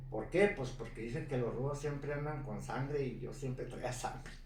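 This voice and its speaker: This man's voice sits fairly high and sounds somewhat breathy. There is audible room echo. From northern Mexico, Ciudad Juárez. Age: 70s. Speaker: retired mountain biker. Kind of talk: life story interview.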